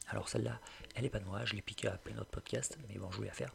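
Noticeable background noise accompanies a man speaking at a fairly low pitch with ordinary pitch variation. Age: 20s. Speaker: web entrepreneur and learning podcaster. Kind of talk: solo podcast monologue, tutorial.

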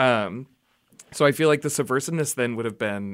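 With an American accent, a man speaks at a fairly quick pace in an unremarkable speaking voice, captured in a very clean recording with a silent background. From Oklahoma. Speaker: drag performer. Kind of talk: casual interview. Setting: radio studio.

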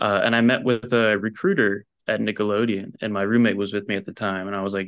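An unremarkable speaking voice with an American accent, fairly quick pace and fairly even intonation against a quiet background. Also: man. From New Jersey. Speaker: animator and story artist. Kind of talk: casual chat.

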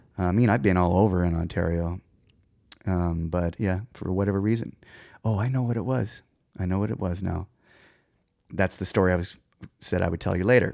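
A dark, mellow voice in a Canadian Prairies accent moves at a fairly quick pace with fairly even intonation and long, frequent pauses, recorded very cleanly against a silent background. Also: man, very deep, low pitch for a man. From Saskatchewan, Canada (Moose Jaw). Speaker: touring musician and music director. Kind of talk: casual interview.

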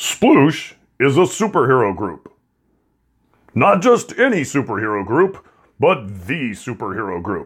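A man's put-on character voice at medium pitch, with very wide pitch swings, long, frequent pauses and a fairly slow pace, on a very clean recording with a silent background. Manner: booming, dramatic.

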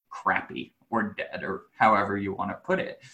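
At a fairly slow pace, a man speaks in an energetic, enthusiastic tone. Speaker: sales consultant and business owner. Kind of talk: interview conversation.

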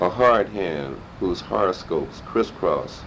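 Noticeable background noise sits behind a man with a very deep, low pitch. He talks at a very slow pace with ordinary pitch variation. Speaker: community activist, oral history interviewee. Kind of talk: oral history interview.

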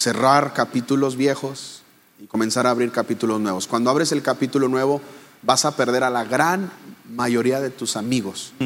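An ordinary speaking voice at a moderate pace, fairly even intonation and big swings in loudness. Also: man, medium pitch for a man. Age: 40s. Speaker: pastor and speaker. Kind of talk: casual interview. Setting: live audience.

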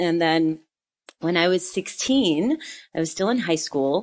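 A woman's voice at a fairly low pitch, with a quiet background. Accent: American. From US Northeast, northern New Jersey. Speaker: yoga teacher and former Broadway dancer. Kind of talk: casual interview.

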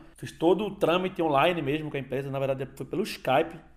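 Fairly quick, fairly high-pitched male speech, an ordinary speaking voice, with ordinary pitch variation. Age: 30s. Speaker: podcast host. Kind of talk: casual monologue. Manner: casual.

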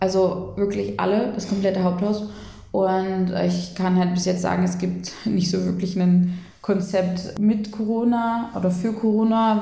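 A woman speaks in a medium pitch at a moderate pace, her intonation monotone and flat. Audible room echo and noticeable background noise fill the recording. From Saxony-Anhalt, Germany (Eisleben). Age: 20s. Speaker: social worker. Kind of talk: casual interview. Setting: in person at host's home in Berlin.

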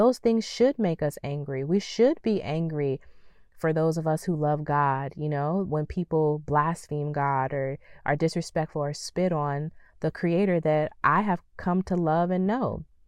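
Against a quiet background, a woman with a very deep, low voice speaks fairly slowly in a calm tone with ordinary pitch variation. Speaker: podcast host. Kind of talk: motivational talk.

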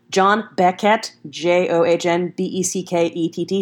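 On a very clean recording with a silent background, a woman talks in an American accent. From US South (Texas). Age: 20s. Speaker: podcast host. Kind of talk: casual monologue. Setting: home recording.

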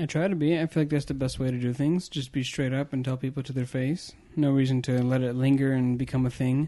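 Talking very fast with hardly any pauses, a man keeps his intonation fairly even. His medium-pitched voice has a dark, mellow tone. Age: 20s. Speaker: podcast co-host, emergency room nurse. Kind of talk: casual chat.

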